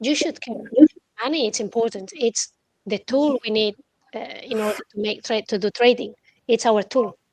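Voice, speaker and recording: A woman with a non-native accent speaks in a fairly high voice, recorded dry and close with no echo. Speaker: trader. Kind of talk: casual chat. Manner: halting.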